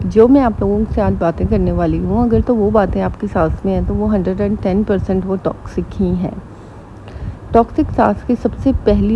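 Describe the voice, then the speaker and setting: A quiet woman's voice against noticeable background noise. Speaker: vlogger giving family advice. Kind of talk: casual advice vlog. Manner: slow.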